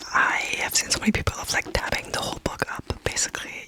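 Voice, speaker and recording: Whispering in a relaxed tone, a woman speaks at a moderate pace. Background noise is noticeable. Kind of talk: ASMR book haul, casual talk to camera. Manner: soft, whispery, relaxed.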